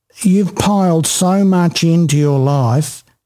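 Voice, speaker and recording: A man's dark, mellow tone with an Australian accent and ordinary pitch variation. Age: 60s. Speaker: podcast host. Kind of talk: interview. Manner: animated.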